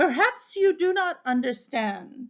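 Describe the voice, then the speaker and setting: A woman uses a put-on character voice, high in pitch with very wide pitch swings. She delivers it at a fairly slow pace. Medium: read story. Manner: haughty, dry.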